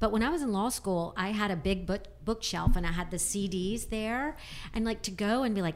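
Fairly quick and medium-pitched, a woman talks with vocal fry. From US South (Alabama). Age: 50s. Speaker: magazine publisher. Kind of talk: casual chat.

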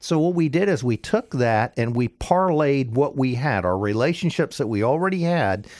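An ordinary speaking voice from a man with an American accent, at a moderate pace, in a very clean recording with a silent background. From Florida, Pinellas County. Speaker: business owner, plumbing company. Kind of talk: interview testimony. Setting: radio studio.

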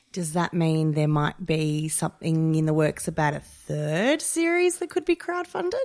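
There is noticeable background noise behind this woman. She speaks at a moderate pace with hardly any pauses. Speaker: podcast host. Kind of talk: casual chat.

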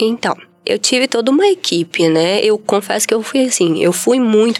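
Moderate pace from a woman with ordinary pitch variation and noticeable background noise. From Brazil, Espírito Santo (Vitória). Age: 30s. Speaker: former art teacher, leukemia survivor. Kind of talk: testimony.

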